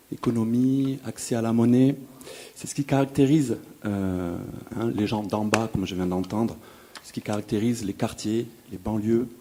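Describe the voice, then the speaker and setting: The speech moves at a moderate pace with long, frequent pauses, ordinary pitch variation and big swings in loudness. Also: man, medium pitch for a man. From Toulouse, France (Le Mirail). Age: 40s. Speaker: audience member. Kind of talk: audience question at public debate. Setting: festival debate hall with audience.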